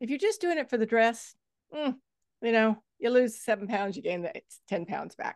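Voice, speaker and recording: The speaker has a normal speaking voice and talks at a moderate pace with ordinary pitch variation. The background is quiet. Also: woman, fairly high pitch for a woman. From Texas. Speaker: fitness coach and author. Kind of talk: interview conversation.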